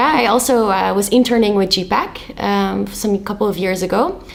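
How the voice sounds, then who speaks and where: A woman at a medium pitch uses ordinary pitch variation and a moderate pace while noticeable background noise runs underneath. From Netherlands. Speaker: youth peacebuilding network coordinator. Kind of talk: podcast interview. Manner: hesitant with fillers.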